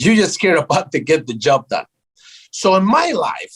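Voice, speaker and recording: With a South American Spanish accent, a man speaks at a high pitch in an animated tone. His pitch swings very widely. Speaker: tech startup founder. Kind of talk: interview.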